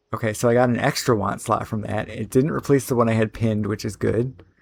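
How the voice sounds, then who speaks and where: A man's medium-pitched voice at a fairly quick pace with fairly even intonation, over music in the background. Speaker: gaming content creator / modder. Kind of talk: casual gameplay commentary. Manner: fast; rambling, filler-heavy (uh, like).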